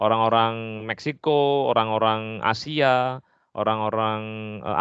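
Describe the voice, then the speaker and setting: Speech in a strong Javanese accent at a moderate pace, with ordinary pitch variation and a quiet background. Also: man. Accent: strong Javanese accent (medok). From Java, Indonesia. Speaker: English literature lecturer. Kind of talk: podcast interview. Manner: hesitant fillers (eee).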